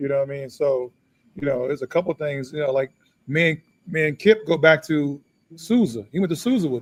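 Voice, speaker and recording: A normal speaking voice from a man, fairly high-pitched, at a fairly quick pace with ordinary pitch variation and big swings in loudness. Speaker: former basketball player and author. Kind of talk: casual chat.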